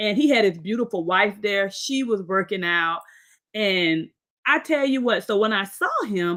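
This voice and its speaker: Fairly slow and bright, sharp in tone, a woman's medium-pitched voice moves with lively intonation in a very clean recording with a silent background. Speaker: podcast host. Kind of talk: interview. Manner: informal.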